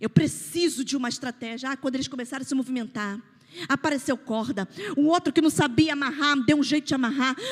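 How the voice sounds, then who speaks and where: A woman with a Rio de Janeiro accent speaks very fast in a high, animated voice with ordinary pitch variation. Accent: Carioca (Rio de Janeiro) Brazilian Portuguese. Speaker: pastor. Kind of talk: sermon.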